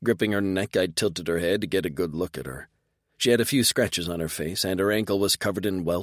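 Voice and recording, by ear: Someone is reading aloud in a natural voice. Nothing much is heard behind the reading.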